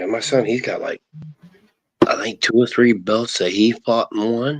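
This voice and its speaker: A man's voice comes across dry and close with no echo as he talks at a moderate pace. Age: 60s. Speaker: live stream panel host. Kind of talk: casual chat.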